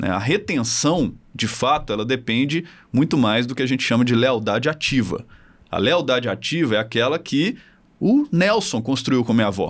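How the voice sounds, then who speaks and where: A plain, everyday voice from a man, medium in pitch, with lively intonation at a moderate pace on a very clean recording with a silent background. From Minas Gerais, Brazil (Belo Horizonte). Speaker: marketing professor and tech founder. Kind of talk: casual interview chat.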